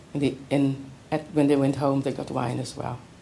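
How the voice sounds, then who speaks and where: Audible room echo surrounds a woman whose pitch is very deep and low. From South Africa, Western Cape. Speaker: poet. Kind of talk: poetry reading and lecture.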